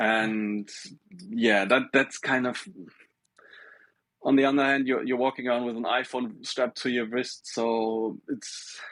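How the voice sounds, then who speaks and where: A German accent comes through at a fairly slow pace. Long pauses break up the speech often. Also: man, medium pitch for a man. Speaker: smartwatch maker. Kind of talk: casual chat. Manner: halting, with many repetitions.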